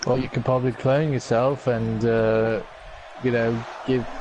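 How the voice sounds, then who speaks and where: A man speaks at a medium pitch with monotone, flat intonation, and noticeable background noise is present. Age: young. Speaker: co-commentator. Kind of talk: casual chat.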